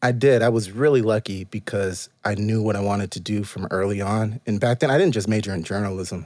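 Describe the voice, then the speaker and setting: A man with an American accent and a plain, everyday voice talks at a fairly low pitch with hardly any pauses, in a very clean recording with a silent background. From Southern California. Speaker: journalist and author. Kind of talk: casual chat. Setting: studio.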